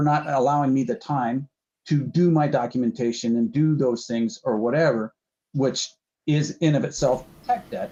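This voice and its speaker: Here a man has an unremarkable speaking voice. He talks at a moderate pace with ordinary pitch variation. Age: 60s. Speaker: podcast host. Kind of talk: casual chat.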